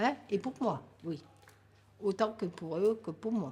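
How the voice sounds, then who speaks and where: A woman speaks very slowly in a somewhat breathy, medium-pitched voice with lively intonation. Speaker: grandmother sharing life story. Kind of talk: life story interview.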